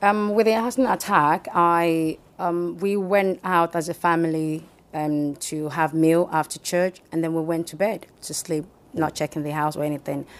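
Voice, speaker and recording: Speech comes at a moderate pace with ordinary pitch variation on a very clean recording with a silent background. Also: woman, fairly low pitch for a woman. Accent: Nigerian. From Nigeria (Yoruba, southwest). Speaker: hospital chaplain and business owner. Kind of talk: interview testimony. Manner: hesitant, many fillers.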